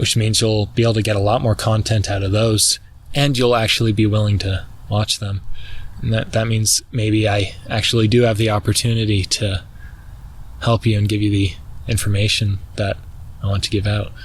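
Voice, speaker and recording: A man's fairly low, somewhat breathy voice with monotone, flat intonation, very even loudness and a moderate pace. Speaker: vlogger. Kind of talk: casual monologue. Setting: outdoors. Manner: halting; talks weirdly.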